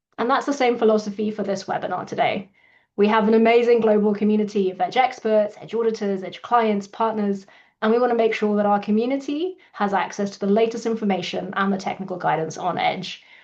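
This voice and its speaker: A woman with a British accent speaks very fast at a fairly high pitch, with ordinary pitch variation and a quiet background. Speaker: company CEO hosting webinar. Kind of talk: webinar introduction. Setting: online webinar.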